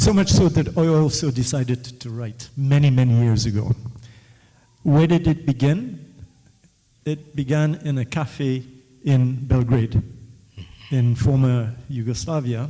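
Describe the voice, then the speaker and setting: A man speaks fairly slowly, with long, frequent pauses. His tone is dark, mellow and somewhat breathy. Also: medium pitch for a man, ordinary pitch variation. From West Africa. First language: West African Creole. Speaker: author in the audience. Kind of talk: audience question-and-answer talk. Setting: book launch event with audience.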